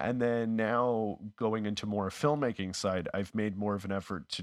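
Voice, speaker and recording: A normal speaking voice from a man with a Canadian accent, fairly low in pitch, at a moderate pace with ordinary pitch variation, over a quiet background. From Canada, Winnipeg. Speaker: actor, comedian and YouTuber. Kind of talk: casual chat.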